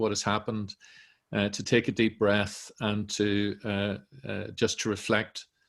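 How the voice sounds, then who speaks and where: The man speaks at a fairly slow pace with a medium pitch. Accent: Northern Irish. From Northern Ireland. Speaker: director of a centre, event moderator. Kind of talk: online panel introduction. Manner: hesitant, many fillers.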